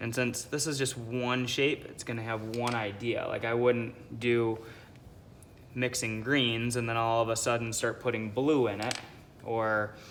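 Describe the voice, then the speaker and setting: At a fairly slow pace, a man speaks in a monotone, flat intonation amid noticeable background noise and audible room echo. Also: medium pitch for a man. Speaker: art teacher. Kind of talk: tutorial.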